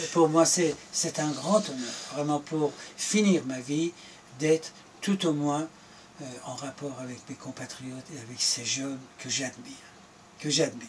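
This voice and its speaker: A man with a fairly high-pitched voice talks at a fairly slow pace, taking long, frequent pauses and showing big swings in loudness. Noticeable background noise runs behind him. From Iran. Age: 70s. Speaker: former government minister. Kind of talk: political interview.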